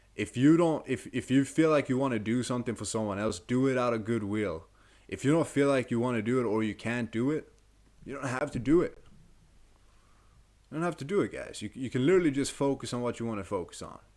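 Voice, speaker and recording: A man with a non-native accent, a medium pitch and ordinary pitch variation, at a very fast pace, in a very clean recording with a silent background. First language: not English. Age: 20s. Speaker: self-improvement coach. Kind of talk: motivational talk to camera. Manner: casual, conversational.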